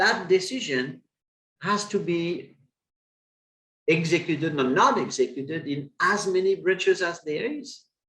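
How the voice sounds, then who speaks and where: Long, frequent pauses break up a man's speech, which has a non-native accent and a fairly slow pace. His pitch is high, with lively intonation. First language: not English. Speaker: webinar presenter, retail consultant. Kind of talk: webinar presentation. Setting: online webinar. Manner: halting, many fillers.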